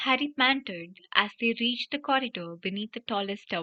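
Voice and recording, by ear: Reading aloud in a natural voice, with lively intonation.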